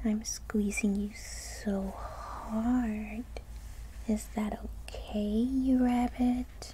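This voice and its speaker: Delivery is very slow and playful in tone. Noticeable background noise is present. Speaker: ASMR roleplay performer. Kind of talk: asmr roleplay, playful seductive lamia character monologue. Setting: roleplay addressing a listener as a rabbit. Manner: playful, teasing, mischievous, soft intimate delivery with giggles; animated, whiny with mom, then coaxing and sly with the rabbit.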